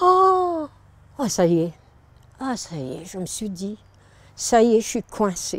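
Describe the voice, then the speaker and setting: A woman's fairly high voice at a very slow pace. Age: 70s. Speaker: local resident. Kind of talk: personal anecdote.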